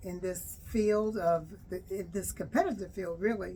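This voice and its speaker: Very slowly, a woman speaks at a medium pitch in a dark, mellow, somewhat breathy tone. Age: 80s+. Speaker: abstract artist. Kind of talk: casual talk to camera. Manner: hesitant, conversational.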